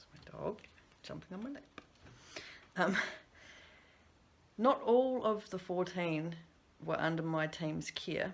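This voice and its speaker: A woman with a New Zealand accent speaks at a medium pitch with lively intonation, big swings in loudness, and long, frequent pauses. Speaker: substance use practitioner. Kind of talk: recorded conference presentation.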